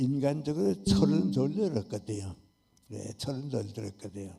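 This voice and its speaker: A man's dark, mellow tone rises and falls with lively intonation. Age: 80s+. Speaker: philosopher, professor. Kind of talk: talk concert answer.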